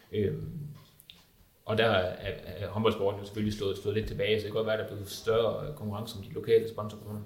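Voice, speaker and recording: Amid audible room echo, a man with a fairly low pitch and vocal fry talks at a fairly quick pace in a monotone, flat way, his loudness swinging a lot. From Denmark, Viborg. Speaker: journalist and football fan. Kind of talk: panel discussion.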